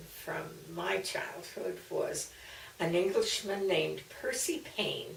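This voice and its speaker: An American woman, with an American accent, speaks at a very slow pace in a warm tone. Her voice carries audible room echo amid noticeable background noise. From US Mid-Atlantic (Maryland, later Missouri). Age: 80s+. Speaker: elderly woman recording family memories. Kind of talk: personal memoir storytelling. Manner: warm, occasionally halting with fillers.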